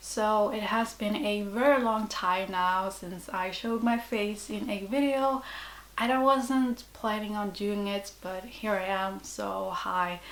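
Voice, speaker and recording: In a recording with audible room echo, a woman speaks in a medium pitch with ordinary pitch variation. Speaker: artist. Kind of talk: tutorial. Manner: hesitant.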